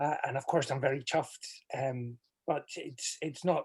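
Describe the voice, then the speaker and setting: A somewhat breathy man's voice at medium pitch, in a Scottish accent, at a moderate pace. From Scotland. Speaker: community organization president. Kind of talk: welcome remarks. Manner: halting.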